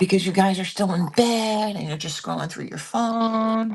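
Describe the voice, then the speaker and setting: A woman whispers with an American accent at a fairly slow pace. She is soft-spoken and somewhat breathy. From Pennsylvania. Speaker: online live seller. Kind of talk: live selling stream. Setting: at home, early morning live stream. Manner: whispering.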